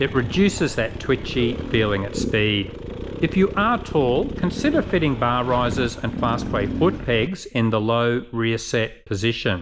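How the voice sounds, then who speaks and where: A man with an Australian accent speaks at a fairly slow pace and a medium pitch, with noticeable background noise behind him. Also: lively intonation. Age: 60s. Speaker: dirt bike reviewer. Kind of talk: scripted product review narration.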